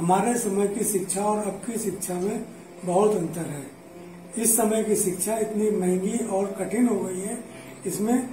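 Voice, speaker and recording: The man's voice is high in pitch, and he speaks at a very slow pace. There is audible room echo and light background noise. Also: fairly even intonation. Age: old. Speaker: grandfather being interviewed. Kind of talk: interview answer. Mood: calm, reflective. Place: home room. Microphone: camera far.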